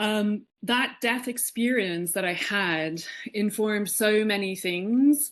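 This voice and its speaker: A woman with an Irish accent at a very slow pace, ordinary pitch variation, quiet background. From Ireland, Dublin. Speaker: spiritual teacher. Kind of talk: podcast interview. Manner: animated.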